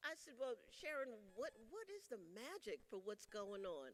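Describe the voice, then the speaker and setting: Against noticeable background noise, a woman talks with a South Carolina accent. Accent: US Southern (South Carolina). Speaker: union leader. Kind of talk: convention speech. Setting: stage with audience. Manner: animated.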